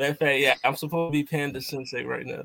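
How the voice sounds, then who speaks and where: Speaking fairly quickly with a Philadelphia accent, a man uses fairly high pitch and fairly even intonation. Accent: Philadelphia American. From US, Philadelphia. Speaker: podcast host, guest. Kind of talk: casual chat. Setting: video call.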